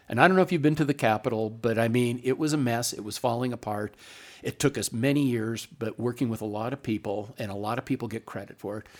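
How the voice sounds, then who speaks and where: An unremarkable speaking voice from a man with an American accent, medium pitch, ordinary pitch variation and a fairly quick pace, on a very clean recording with a silent background. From Montana (Butte). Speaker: politician. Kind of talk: interview. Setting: studio.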